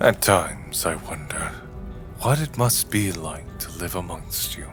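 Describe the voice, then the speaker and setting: Over clear background noise, a man does a put-on character voice with a very deep, low pitch at a moderate pace. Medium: audio drama. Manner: formal, measured, no contractions.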